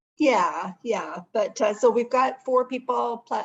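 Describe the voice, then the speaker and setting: A woman talks at a moderate pace in a Canadian accent. Vocal fry runs through her voice. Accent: Canadian, heard in 'about'. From Ontario, Canada. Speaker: networking meeting organizer. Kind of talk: casual chat. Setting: video call.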